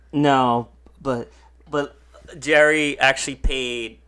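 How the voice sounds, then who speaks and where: With music playing behind him, a man speaks with fairly even intonation. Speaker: podcast guest, wrestling fan. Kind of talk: casual chat.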